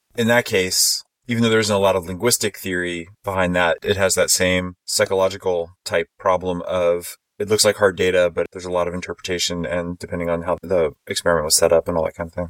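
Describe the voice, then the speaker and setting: A man with an American accent and a very deep, low pitch speaks at a very fast pace with hardly any pauses, his intonation monotone and flat, in a dry, close sound with no echo. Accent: Texan, toned down in normal speech. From Texas. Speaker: podcast host, linguist. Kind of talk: casual roundtable chat. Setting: video call, virtual conference. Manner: playful, jokey.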